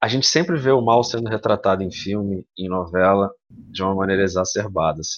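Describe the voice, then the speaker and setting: A man in a plain, everyday voice, at a fairly quick pace with ordinary pitch variation. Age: 30s. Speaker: founder of a streamer collective. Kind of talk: podcast interview.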